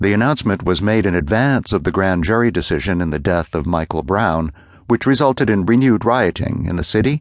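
Speaking at a fairly quick pace, a man with a normal speaking voice and fairly low pitch uses lively intonation. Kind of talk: formal news reading of a magazine essay.

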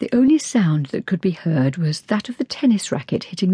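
Someone reads aloud in a natural voice, with lively intonation.

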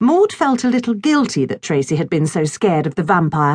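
A woman speaks in an animated tone with a fairly low, somewhat breathy voice. Her pitch swings very widely against a quiet background. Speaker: audiobook narrator. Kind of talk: dramatic audiobook narration with character voices. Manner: animated, expressive storyteller shifting between voices; playful, whimsical children's-story delivery.

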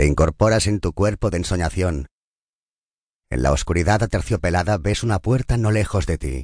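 Vocal fry and lively intonation come through in a dry, close recording with no echo and a quiet background. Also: man, very deep, low pitch for a man. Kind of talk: guided meditation. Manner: slow, soft, soothing, calm; measured pace with long pauses between counted numbers.

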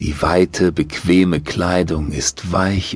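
Very slow and calm, a man's very deep, low voice carries a soothing tone with ordinary pitch variation. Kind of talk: guided meditation. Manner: slow, calm, soothing.

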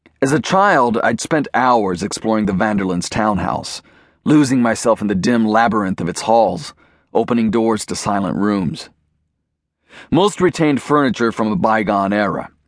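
Against a quiet background, a man with a medium pitch speaks at a moderate pace in a dramatic, playful tone with lively intonation. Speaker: audiobook narrator. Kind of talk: scripted first-person audiobook narration of a thriller.

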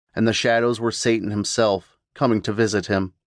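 A man talks in an ordinary speaking voice at a moderate pace. The background is quiet, and the sound is dry and close with no echo. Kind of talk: dramatic horror audiobook narration. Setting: audiobook sample. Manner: suspenseful, hushed and menacing, with voices for characters.

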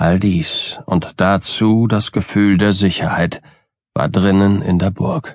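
Speaking at a very slow pace in a theatrical tone, a man keeps his loudness very even. His pitch is fairly low, with ordinary variation. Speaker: audiobook narrator. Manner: formal, literary and theatrical, building dread.

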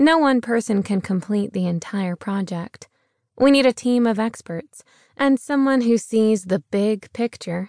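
An unremarkable speaking voice from a woman at medium pitch and moderate pace, with ordinary pitch variation, dry, close sound with no echo, and a quiet background. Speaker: audiobook narrator. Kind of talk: audiobook narration, scripted nonfiction reading. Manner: polished, steady, measured; warm, earnest, persuasive.

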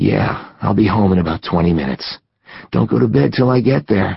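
In a put-on character voice, a man speaks raspy and very deep at a moderate pace, with very wide pitch swings.

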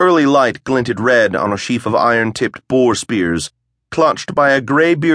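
Quiet background, natural reading voice

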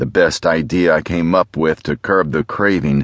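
A very deep, low-pitched man's voice in a weary, dramatic tone, with ordinary pitch variation and a moderate pace, in a dry, close sound with no echo. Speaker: audiobook narrator. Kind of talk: first-person hard-boiled noir audiobook narration, read aloud. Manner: brooding, world-weary gravelly detective voice with dramatic tension.

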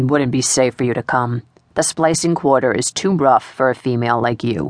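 Putting on a character voice, a woman growls at a moderate pace in a very deep, low pitch. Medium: read story. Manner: stern, growling.

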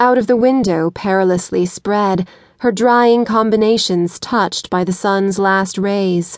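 A woman's medium-pitched voice in a solemn tone, very slow, with fairly even intonation. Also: quiet background. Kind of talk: poetry reading, audiobook narration. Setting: studio. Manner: measured, solemn, expressive.

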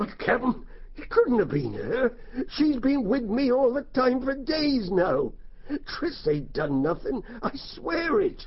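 A man's put-on character voice, extremely high in pitch, at a fairly slow pace over light background noise. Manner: rueful, anxious, repeats phrases.

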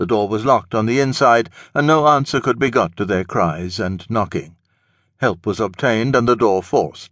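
A man's unremarkable speaking voice at medium pitch, with lively intonation, a moderate pace and a quiet background. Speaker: audiobook narrator. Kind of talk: audiobook narration. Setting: studio. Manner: measured, even-paced and formal, steady storyteller's delivery; clear, dry and matter-of-fact, like a report read aloud.

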